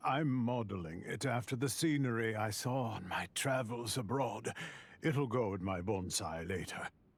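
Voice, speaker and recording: Using a put-on character voice, a man talks at a fairly slow pace and medium pitch with lively intonation. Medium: video game. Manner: warm, reflective.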